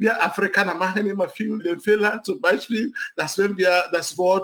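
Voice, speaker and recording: This man talks at a fairly slow pace, his voice pitched high. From Nigeria. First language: English and Igbo (speaking German). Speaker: city council candidate, scientist. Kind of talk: interview.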